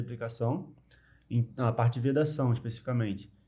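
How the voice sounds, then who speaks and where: Somewhat breathy male speech, dark and mellow in tone. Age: 20s. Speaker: engineer. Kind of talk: podcast interview.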